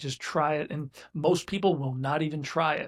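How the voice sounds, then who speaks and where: A man talks with fairly even intonation and a fairly high pitch, a plain, everyday voice. The recording is very clean, with a silent background. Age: 60s. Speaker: business owner. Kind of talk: casual chat.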